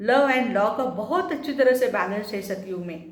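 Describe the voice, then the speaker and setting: A woman with a fairly high pitch speaks with lively intonation. The recording has noticeable background noise and audible room echo. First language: Marathi (speaking Hindi). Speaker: spiritual teacher. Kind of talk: spiritual talk.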